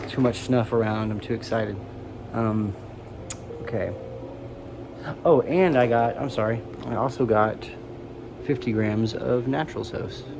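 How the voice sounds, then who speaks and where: Amid noticeable background noise and audible room echo, a man with an American accent speaks with fairly even intonation and long, frequent pauses. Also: medium pitch for a man, moderate pace. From United States. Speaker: tobacco snuff reviewer. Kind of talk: casual product review vlog. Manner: soft-spoken, sometimes mumbling; halting, hesitant.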